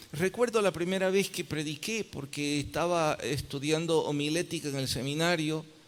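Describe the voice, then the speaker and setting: A plain, everyday voice from a man, fairly high in pitch, at a fairly slow pace with ordinary pitch variation. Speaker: pastor. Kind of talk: sermon.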